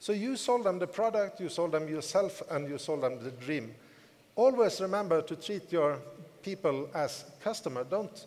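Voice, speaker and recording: Audible room echo surrounds a man with a high-pitched voice. His intonation is lively. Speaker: network marketing team leader. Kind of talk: motivational conference speech. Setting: stage with audience.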